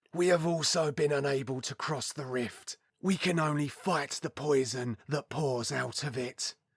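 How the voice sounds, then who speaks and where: Doing a raspy, put-on character voice, a man speaks at a moderate pace with a fairly high pitch and ordinary pitch variation. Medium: read story.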